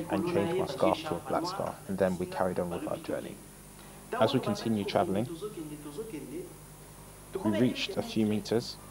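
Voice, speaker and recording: The speaker's pitch swings very widely, with long, frequent pauses over noticeable background noise. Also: man, medium pitch for a man, moderate pace. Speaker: voice-over translator. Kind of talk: translated testimony voice-over.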